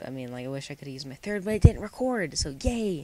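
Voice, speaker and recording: The speech comes at a very fast pace and is mumbled. The recording is very clean, with a silent background. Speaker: gaming YouTuber. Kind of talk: gameplay commentary. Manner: mumbling.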